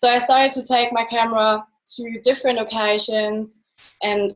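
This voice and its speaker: Speaking in a German accent, a woman keeps a moderate pace and a fairly high pitch with monotone, flat intonation. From Germany. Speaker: photographer. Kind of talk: presentation.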